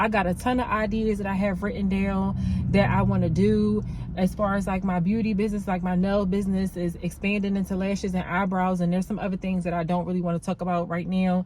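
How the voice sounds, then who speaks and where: A woman talks at a very fast pace with a medium pitch and monotone, flat intonation. Noticeable background noise runs underneath. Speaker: nail tech vlogger. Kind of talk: vlog monologue.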